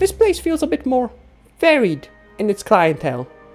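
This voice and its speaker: Over faint background music, a man does a put-on character voice at a high pitch and moderate pace. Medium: solo performance. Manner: chatty, wry.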